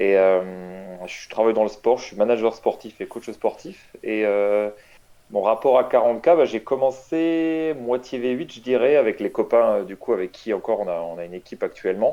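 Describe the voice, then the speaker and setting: Over a quiet background, a man with a dark, mellow tone and medium pitch talks at a moderate pace, his intonation lively and his loudness swinging a lot. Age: 30s. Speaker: competitive tabletop wargame player. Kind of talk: interview. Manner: hesitant, many fillers.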